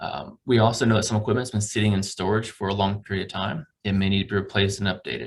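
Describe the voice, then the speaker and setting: A man talks at a very fast pace in a somewhat breathy voice. His pitch is fairly low and his intonation fairly even. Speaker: campus recreation staff presenting budget. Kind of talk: budget presentation to committee.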